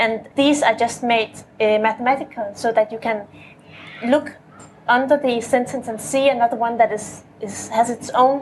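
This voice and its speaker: Over noticeable background noise, a woman with a non-native accent talks at a moderate pace in a fairly high pitch, her intonation fairly even. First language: not English. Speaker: poet. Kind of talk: panel discussion. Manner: halting, many repetitions.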